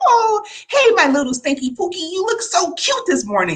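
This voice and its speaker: The speaker uses a put-on character voice with an extremely high pitch. The pace is moderate. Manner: sweet, cooing.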